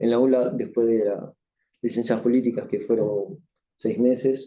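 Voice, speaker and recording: A man with a French accent has a dark, mellow tone. His pitch is medium, and its variation is ordinary. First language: French (speaking Spanish). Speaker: author. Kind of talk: book launch speech with thanks. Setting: university event with live audience. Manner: halting.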